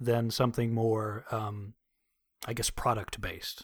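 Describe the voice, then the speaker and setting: The recording is very clean, and the background is silent. A man talks at a medium pitch and a moderate pace. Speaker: voice actor. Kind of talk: casual interview chat. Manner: hesitant, filler-heavy.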